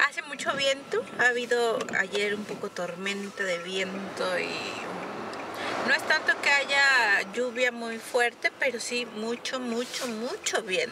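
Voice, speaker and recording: Very slow speech from a woman, ordinary pitch variation, a dry sound with no echo, and noticeable background noise. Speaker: vlogger. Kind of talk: casual vlog chat. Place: car. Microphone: phone near.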